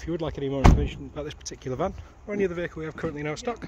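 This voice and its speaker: Over loud background noise, the speech comes at a very fast pace with long, frequent pauses, the sound dry with no echo. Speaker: van dealer salesperson. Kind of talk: sales pitch. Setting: outdoors on forecourt, walk-round video. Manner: upbeat, promotional, confident. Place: street. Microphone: phone near.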